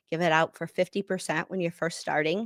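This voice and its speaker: Heard in a dry, close sound with no echo, a woman uses a plain, everyday voice at a fairly low pitch with ordinary pitch variation. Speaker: business coach and webinar host. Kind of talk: webinar presentation. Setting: online webinar.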